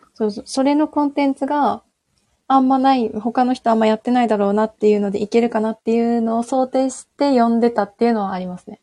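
A woman speaks at a very fast pace with a fairly high pitch, fairly even intonation, big swings in loudness and a dark, mellow tone, in a dry, close sound with no echo. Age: 20s. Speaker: university student. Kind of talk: casual chat.

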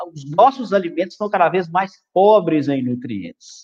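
This is a man. His voice sits at a high pitch. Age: 40s. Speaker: physiologist, nutrition specialist. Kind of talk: live stream health talk. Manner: calm.

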